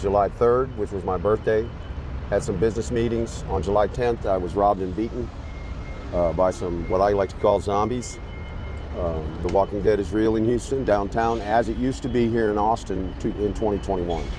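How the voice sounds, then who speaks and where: A man's pitch varies in a usual way while background noise is clearly audible. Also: fairly low pitch for a man, moderate pace. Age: 60s. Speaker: homeless man. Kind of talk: street interview.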